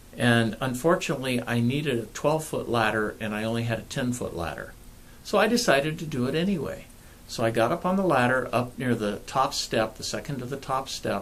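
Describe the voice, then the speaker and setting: This is a normal speaking voice from a man, pitched in the middle range. He moves along at a fairly quick clip, and his intonation rises and falls in a lively way. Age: 60s. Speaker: pain management clinician and author. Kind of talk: personal video talk to camera.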